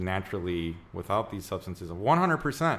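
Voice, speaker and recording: A man speaks at a fairly slow pace with an American accent. He has a fairly low pitch and a plain, everyday voice. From US Midwest, Chicago area. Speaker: podcast host, naturopathic doctor. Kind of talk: casual interview chat.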